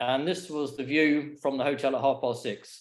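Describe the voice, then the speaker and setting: Fairly high in pitch, a man talks at a fairly quick pace. He has a normal speaking voice. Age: 60s. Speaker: paraglider giving a talk. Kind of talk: slideshow presentation. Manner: casual, with fillers.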